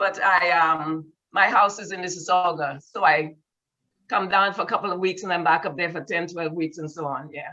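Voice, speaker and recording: Speaking with a Caribbean accent at a moderate pace, a woman has a fairly low pitch. Her intonation stays fairly even while her loudness swings widely. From Saint Lucia. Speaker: community group participant. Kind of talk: casual chat.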